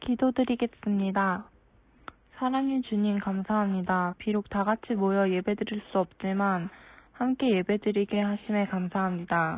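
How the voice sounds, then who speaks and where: A woman speaks in an ordinary speaking voice at medium pitch and a fairly slow pace, with very even loudness and fairly even intonation. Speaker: young church member. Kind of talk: prayer.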